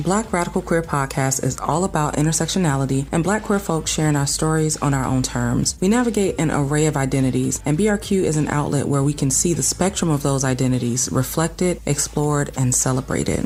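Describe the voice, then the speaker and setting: A woman with a Southern US accent speaks at a fairly quick pace with hardly any pauses, her pitch very deep and low. Her pitch varies in an ordinary way, her loudness stays very even, and there is noticeable background noise. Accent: Southern twang. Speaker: podcast host. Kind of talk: scripted outro.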